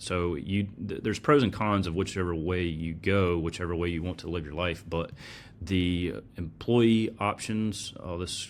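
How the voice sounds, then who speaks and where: His intonation is fairly even. The man's voice sits at a very deep, low pitch. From US South, North Carolina. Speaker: personal finance podcast host. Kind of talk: solo podcast presentation with slides. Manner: casual, conversational with fillers.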